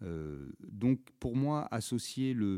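The voice is a man's, with a dark, mellow tone. The recording is very clean, with a silent background. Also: dry, close sound with no echo. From Auvergne, France. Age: 50s. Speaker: traditional music singer. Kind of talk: interview. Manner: halting.

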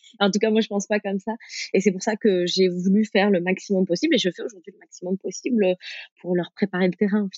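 Her intonation is fairly even. The woman talks very fast. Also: medium pitch for a woman. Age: 30s. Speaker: parenting activity creator. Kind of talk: casual interview chat.

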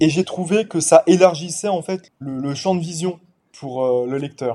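The speaker is a man with a fairly high pitch. His tone is dark and mellow, with ordinary pitch variation. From Paris suburbs, France. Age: 20s. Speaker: novelist. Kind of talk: interview.

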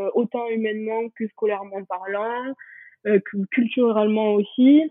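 Very slowly, a woman speaks in a fairly high voice. Her pitch varies in an ordinary way. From France, Pyrenees. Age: 20s. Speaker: law student. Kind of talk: interview testimony. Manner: hesitant, many fillers.

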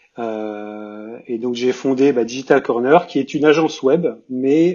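A man talks very slowly, his medium-pitched voice rising and falling in an ordinary way. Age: 40s. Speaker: web agency founder. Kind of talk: casual panel discussion. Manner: halting, many repetitions.

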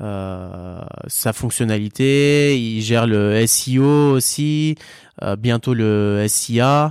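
Here a man's voice is heard. The recording is very clean and the background silent. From Vendée, western France. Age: 30s. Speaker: startup co-founder. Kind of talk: interview.

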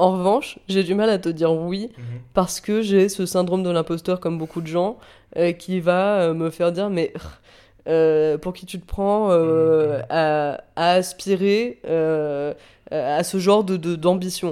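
Words come out at a very slow pace. Nothing can be heard behind them on this very clean recording. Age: 20s. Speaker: podcast guest. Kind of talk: casual chat. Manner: animated.

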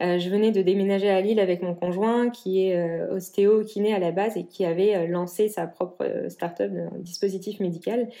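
A woman's medium-pitched voice, dark and mellow, flat and monotone, at a moderate pace with hardly any pauses. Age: 20s. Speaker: entrepreneur. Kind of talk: interview. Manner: hesitant, many fillers.

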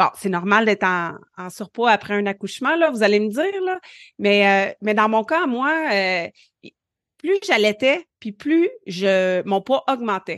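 In a Quebec accent, the speaker talks at a very slow pace with lively intonation, recorded dry and close with no echo over a quiet background. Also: woman, fairly high pitch for a woman. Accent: Québécois French. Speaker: family physician and podcast co-host. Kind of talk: casual chat.

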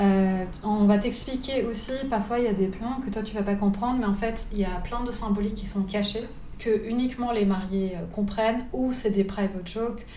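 A woman speaks at medium pitch in a flat monotone. Audible room echo and noticeable background noise surround her. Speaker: wedding photographer. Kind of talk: casual interview. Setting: living room.

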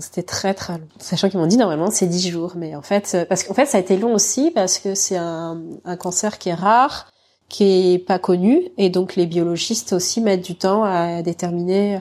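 A woman speaks at a moderate pace in a dark, mellow tone. The recording is very clean, with a silent background. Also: medium pitch for a woman, fairly even intonation. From mainland France. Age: 30s. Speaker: cancer survivor and mother. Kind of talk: testimony. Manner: hesitant, many fillers.

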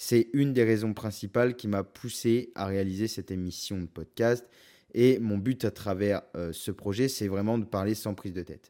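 A dark, mellow tone comes through. The background is silent and the recording very clean. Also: man, fairly low pitch for a man, moderate pace. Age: 20s. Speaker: podcast host, photographer. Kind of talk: solo podcast introduction, casual. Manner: energetic.

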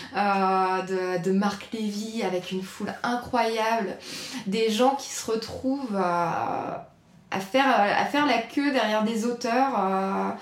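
There is audible room echo and noticeable background noise as a woman speaks at a fairly high pitch with ordinary pitch variation. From northern France, raised near Nantes. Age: 30s. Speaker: journalist. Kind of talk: casual interview chat. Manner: halting, many hesitations.

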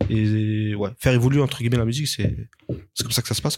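A man's medium-pitched voice, very fast and fairly even in intonation. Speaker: beatmaker and music producer. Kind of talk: casual chat.

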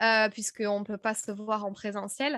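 Dry and close with no echo, a woman's fairly high voice comes at a fairly quick pace on a very clean recording with a silent background. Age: 30s. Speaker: podcast host and speaking coach. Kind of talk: interview as guest, casual conversation. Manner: animated, many fillers.

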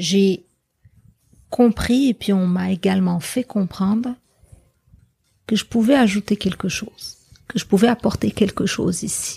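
A woman with a dark, mellow, somewhat breathy tone at medium pitch, speaking fairly slowly with long, frequent pauses. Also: ordinary pitch variation, dry, close sound with no echo. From Morocco, Casablanca. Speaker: journalist. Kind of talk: interview conversation. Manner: halting, frequent repetitions.

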